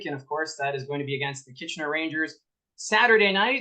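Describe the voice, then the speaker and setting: Bright and sharp in tone, a man speaks at a fairly high pitch with ordinary pitch variation. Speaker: podcast host, hockey broadcaster. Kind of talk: interview host questions.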